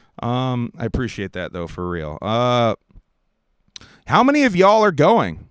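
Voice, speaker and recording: The voice is a man's, at medium pitch. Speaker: livestream news host. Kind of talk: casual livestream talk reading chat. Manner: casual, hesitant with fillers.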